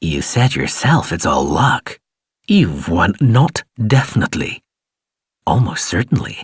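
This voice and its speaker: A soft-spoken man puts on a character voice at a medium pitch, with very wide pitch swings and a hissing sound. He goes at a fairly slow pace, and the recording is dry and close with no echo. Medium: read story. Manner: soft-spoken, insinuating.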